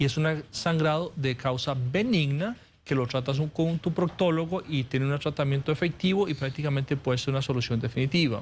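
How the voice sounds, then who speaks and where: On a very clean recording with a silent background, a somewhat breathy man speaks at a fairly high pitch with ordinary pitch variation. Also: fairly quick pace, hardly any pauses, very even loudness. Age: 40s. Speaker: surgical oncologist. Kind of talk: TV interview.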